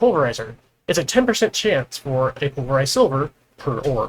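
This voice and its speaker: A somewhat breathy man at a moderate pace, with lively intonation. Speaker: gaming video host. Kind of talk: gameplay tutorial chat.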